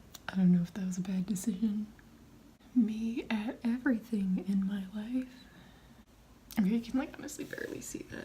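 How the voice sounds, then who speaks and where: A woman is whispering at a moderate pace with long, frequent pauses over noticeable background noise. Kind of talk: casual talk to camera, makeup tutorial. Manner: whispered.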